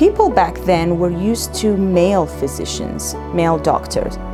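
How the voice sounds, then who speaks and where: A woman talks with an Iraqi accent. There is music in the background. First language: Arabic. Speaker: physician. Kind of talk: personal story told to young learners.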